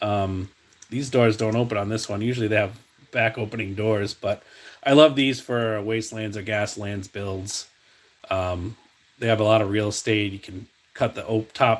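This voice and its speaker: In a New England accent, a man speaks at a moderate pace with a relaxed tone, fairly low pitch, and fairly even intonation. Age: 40s. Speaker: diecast customizer and video host. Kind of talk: casual live-stream chat showing finds. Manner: relaxed, many fillers like um and uh.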